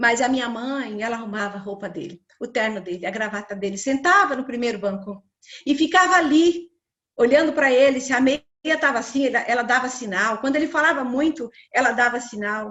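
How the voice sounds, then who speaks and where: A woman talks at a high pitch and a fairly quick pace. Her intonation is lively. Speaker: women's ministry speaker. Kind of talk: sermon. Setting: livestream.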